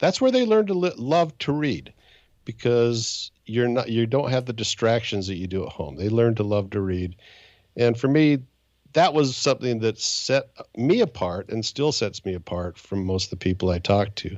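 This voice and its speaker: With a plain, everyday voice at a medium pitch, a man speaks at a moderate pace with lively intonation. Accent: American. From Utah and Indiana, US. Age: 60s. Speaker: angel investor and financial advisor. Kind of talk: interview. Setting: podcast.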